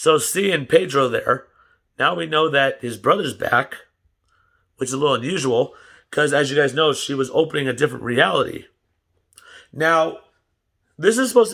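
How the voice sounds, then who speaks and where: Over a very clean recording with a silent background, a man speaks with a bright, sharp tone at a fairly high pitch, with vocal fry and lively intonation. His pace is moderate, broken by long, frequent pauses. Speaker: YouTuber reacting to TV shows. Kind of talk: casual vlog commentary.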